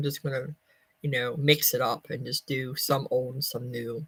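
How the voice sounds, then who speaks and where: A woman's very deep, low voice with an American accent, monotone, flat intonation and a dry, close sound with no echo. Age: 50s. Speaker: vlogger. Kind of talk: casual chat. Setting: livestream.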